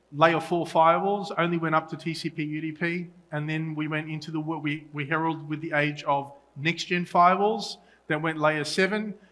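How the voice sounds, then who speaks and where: Speaking at a fairly quick pace, a man with an Australian accent has a fairly high pitch, a bright, sharp tone and monotone, flat intonation. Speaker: solutions engineer at a tech conference. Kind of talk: conference talk. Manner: halting with fillers and restarts.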